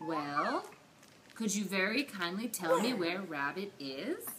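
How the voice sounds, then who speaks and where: A put-on character voice at a middle pitch, delivered at a fairly slow pace over clear background noise. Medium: read story. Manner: polite, simple.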